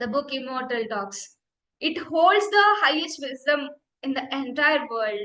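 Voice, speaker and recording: Raising and projecting her high voice, a woman speaks fairly slowly with an Indian accent. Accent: Indian English (Telugu). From India, Andhra Pradesh. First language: Telugu. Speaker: meditation teacher. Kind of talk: personal testimony. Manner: halting, repeats words.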